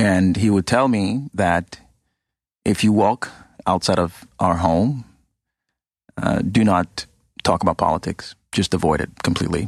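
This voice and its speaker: Using a very deep, low pitch with ordinary pitch variation, a man speaks at a fairly slow pace and very even loudness, with long, frequent pauses. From Ghana. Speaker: think tank program director. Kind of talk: podcast interview. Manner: hesitant, many fillers.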